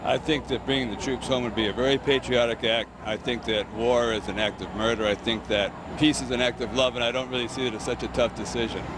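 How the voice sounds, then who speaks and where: Over noticeable background noise, a man races along at a very fast pace with hardly any pauses and a monotone, flat intonation. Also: medium pitch for a man. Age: 70s. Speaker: demonstrator. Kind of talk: street interview. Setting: outdoors at a demonstration.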